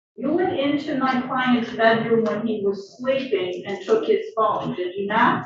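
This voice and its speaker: Lively intonation at a fairly slow pace, hardly any pauses, audible room echo. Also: woman, fairly high pitch for a woman. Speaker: defense attorney. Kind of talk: courtroom cross-examination. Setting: courtroom. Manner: loud.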